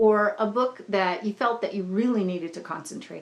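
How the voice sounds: What you hear is a natural reading voice.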